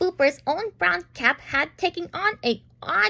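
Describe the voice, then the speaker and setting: Her voice is high for a woman, with very wide pitch swings. She speaks at a fairly slow pace. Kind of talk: bedtime story. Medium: read story. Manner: halting, self-correcting.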